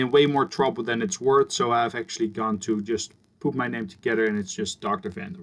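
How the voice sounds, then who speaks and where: Talking at a fairly quick pace, a man with a Dutch accent makes very wide pitch swings. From Netherlands, Gouda (South Holland). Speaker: university professor. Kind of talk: recorded lecture introduction. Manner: casual, conversational.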